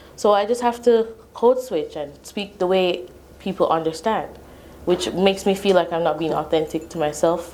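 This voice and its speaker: Lively intonation marks this woman's medium-pitched voice. Her tone is dark and mellow, and her pace fairly quick. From Jamaica. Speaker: immigrant sharing her story. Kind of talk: interview.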